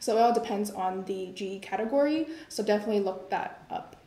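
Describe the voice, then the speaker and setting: Heard with audible room echo, a woman talks at a moderate pace with ordinary pitch variation. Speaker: university student orientation leader; panelist. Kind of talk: live Q&A panel. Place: classroom. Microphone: camera far.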